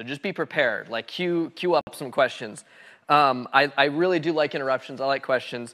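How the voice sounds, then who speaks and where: An animated man with a fairly high pitch and a bright, sharp tone speaks with ordinary pitch variation on a very clean recording with a silent background. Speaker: guest lecturer, software developer. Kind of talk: lecture. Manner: fast.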